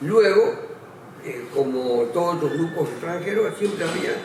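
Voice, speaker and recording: Audible room echo and noticeable background noise fill the space. A man speaks fairly slowly within it. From Argentina, Córdoba. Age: 80s+. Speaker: lawyer and journalist. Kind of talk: testimony interview. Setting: recorded interview on camera.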